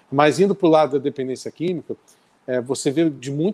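A man with an unremarkable speaking voice, fairly high in pitch, at a moderate pace. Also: dry, close sound with no echo. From Brazil, Rio de Janeiro. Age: 40s. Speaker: rock musician. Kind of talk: casual chat. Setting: live stream.

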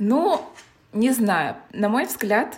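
The woman's voice is somewhat breathy. Her pitch moves in an ordinary way. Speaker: podcast co-host. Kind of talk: casual chat.

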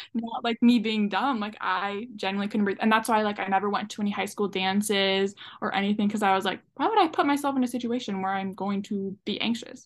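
Speaking at a fairly quick pace over a quiet background, a woman has a plain, everyday voice, medium pitch, and fairly even intonation. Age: 20s. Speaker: social media creator. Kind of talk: casual chat.

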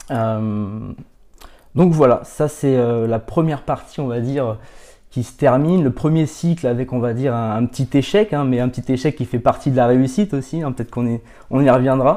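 A man speaks at a moderate pace in a dark, mellow tone. The recording is very clean, with a silent background. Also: medium pitch for a man, ordinary pitch variation. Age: 30s. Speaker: professional coach and consultant. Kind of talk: podcast interview. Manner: halting, many repetitions and fillers.

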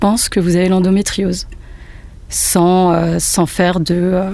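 A woman speaks at a fairly low pitch in a monotone, flat intonation. Audible room echo fills the space. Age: 30s. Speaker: photographer. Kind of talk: testimony. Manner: halting.

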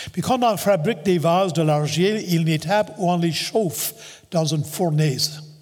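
Noticeable background noise sits behind a high-pitched man who speaks at a moderate pace with very even loudness. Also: ordinary pitch variation. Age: 70s. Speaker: pastor. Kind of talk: sermon.

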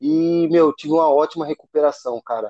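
Dark and mellow in tone, the voice speaks at a moderate pace in a flat monotone with a dry, close sound and no echo. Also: man. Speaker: MMA fighter. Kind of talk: interview.

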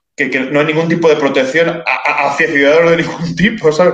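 A man with a fairly high voice speaks rather quickly while noticeable noise runs in the background. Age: 30s. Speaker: writer and cultural commentator. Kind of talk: interview.

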